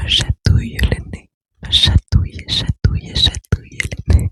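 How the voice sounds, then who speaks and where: A woman whispers at a very slow pace, her loudness swinging widely, in a dry, close sound with no echo. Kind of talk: ASMR whispering to listener. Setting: close microphone, high gain. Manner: whispered, soft-spoken.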